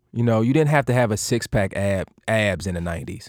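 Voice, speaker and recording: A man with a medium pitch and lively intonation talks at a fairly quick pace in an unremarkable speaking voice, on a very clean recording with a silent background. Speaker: actor. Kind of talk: interview. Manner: casual.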